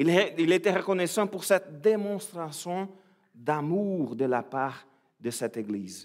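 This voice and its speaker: A man's high-pitched voice with lively intonation at a very slow pace, on a very clean recording with a silent background. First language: Portuguese (speaking French). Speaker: preacher. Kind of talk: sermon. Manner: halting, frequent repetitions.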